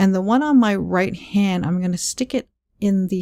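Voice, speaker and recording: A woman speaks quietly at medium pitch, her tone dark and mellow. The recording is very clean, with a silent background. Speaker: card making crafter. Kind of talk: craft tutorial talk to camera. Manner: quiet, lowered voice.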